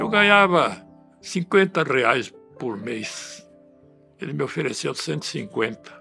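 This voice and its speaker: With music in the background, a man speaks at a fairly slow pace and leaves long, frequent pauses. His pitch is fairly high and swings very widely. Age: 80s+. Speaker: retired property registrar. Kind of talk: interview answer.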